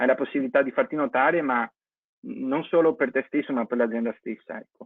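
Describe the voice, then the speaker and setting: Using a plain, everyday voice, a man talks fairly quickly at a fairly high pitch with ordinary pitch variation. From Venice, Italy. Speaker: vocational course student. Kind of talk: testimony.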